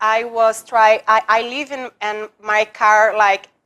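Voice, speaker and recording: A woman with a Portuguese accent speaks at a very slow pace. Her fairly high voice has a bright, sharp tone. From Brazil. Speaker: former attorney, public personality. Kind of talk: interview. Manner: halting, broken English.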